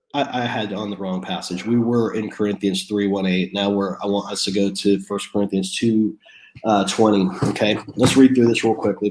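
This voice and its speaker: Noticeable background noise runs under this recording. A man speaks with a fairly low pitch and fairly even intonation. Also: moderate pace. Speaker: pastor. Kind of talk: sermon. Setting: at home, online stream. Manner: halting, many repeated words.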